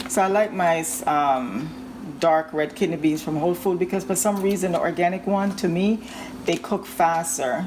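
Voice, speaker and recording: A woman speaks at a moderate pace with a fairly low pitch and lively intonation. Noticeable background noise runs beneath her voice. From Jamaica. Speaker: home cooking vlogger. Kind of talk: cooking tutorial. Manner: casual, hesitant with frequent ums.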